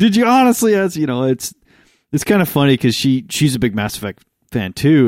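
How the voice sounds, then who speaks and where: The sound is dry and close, with no echo. A man talks with ordinary pitch variation. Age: 30s. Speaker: podcast co-host. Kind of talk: casual chat.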